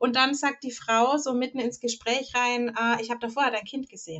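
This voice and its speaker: Fairly quick pace with fairly even intonation. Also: woman. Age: 30s. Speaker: podcast co-host. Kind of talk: casual chat.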